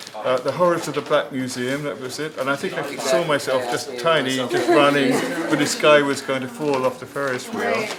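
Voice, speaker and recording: With audible room echo and noticeable background noise, a man speaks at a moderate pace with ordinary pitch variation. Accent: English. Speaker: film director. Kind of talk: casual chat. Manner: halting.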